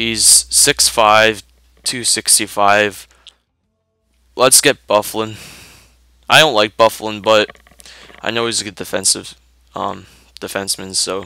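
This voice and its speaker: A man speaks at a fairly slow pace with long, frequent pauses, music playing behind him. His pitch is fairly low and his intonation fairly even. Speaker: gaming YouTuber. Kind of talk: gameplay commentary.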